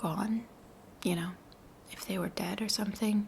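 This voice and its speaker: Soft-spoken, this woman talks with vocal fry. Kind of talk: soft spoken ASMR ramble to camera. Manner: soft-spoken, reflective.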